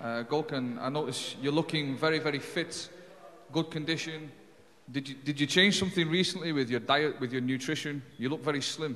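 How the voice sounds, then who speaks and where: Over noticeable background noise and audible room echo, a man talks fairly quickly at a fairly high pitch with fairly even intonation. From UK. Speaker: journalist. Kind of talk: press conference Q&A. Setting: press conference.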